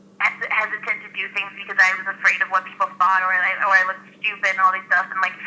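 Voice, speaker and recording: With an American accent, the speaker races at a very fast pace with hardly any pauses, the intonation monotone and flat while the loudness swings widely, over noticeable background noise. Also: woman, medium pitch for a woman. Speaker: host and aspiring actress. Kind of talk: interview. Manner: loud, outgoing; talkative, fast.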